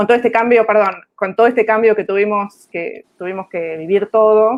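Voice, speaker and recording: A woman with an Argentine accent, fairly high in pitch, at a moderate pace with fairly even intonation. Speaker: executive recruiter. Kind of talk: panel discussion.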